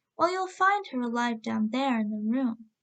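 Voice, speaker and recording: A woman's put-on character voice, high-pitched and with very wide pitch swings. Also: moderate pace. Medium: read story.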